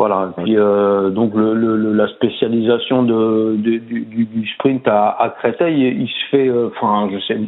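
A man of medium pitch talks at a very slow pace with fairly even intonation. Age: 40s. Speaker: swimming coach. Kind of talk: casual interview. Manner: hesitant, many fillers and repetitions.

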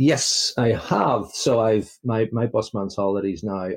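A man with a Northern Irish accent at a fairly slow pace. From Belfast, Northern Ireland. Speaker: Jets fan, listener spotlight guest. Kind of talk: casual interview chat. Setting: remote call from UK. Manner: chatty, upbeat.

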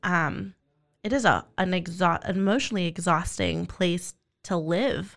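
A woman's fairly low voice carries vocal fry as she speaks fairly slowly with ordinary pitch variation. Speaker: podcast host; foster parent. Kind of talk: casual interview chat. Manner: halting, many fillers.

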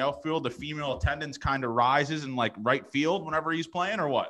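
Speaking in a Canadian accent, a man talks at a fairly quick pace with a fairly high pitch. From Canada. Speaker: podcast host. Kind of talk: casual interview chat. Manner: animated, enthusiastic.

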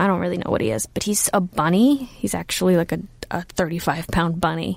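In a very clean recording with a silent background, a woman with a Californian accent speaks at a fairly low pitch. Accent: General American (California). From Los Angeles, US. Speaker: comedian and comedy writer. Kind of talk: casual interview chat. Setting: studio booth.

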